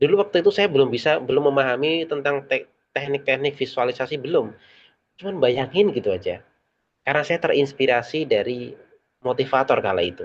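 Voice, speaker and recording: Talking at a very fast pace, a man uses a fairly high voice with lively intonation. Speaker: public speaking trainer. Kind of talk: online training session. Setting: online meeting with chat.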